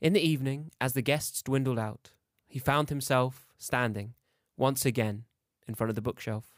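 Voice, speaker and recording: In a very clean recording with a silent background and a dry, close sound with no echo, a man talks in a normal speaking voice at medium pitch and a moderate pace, with ordinary pitch variation. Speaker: fiction podcaster reading his own story. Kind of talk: horror fiction narration, read aloud. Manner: measured, suspenseful storytelling pace.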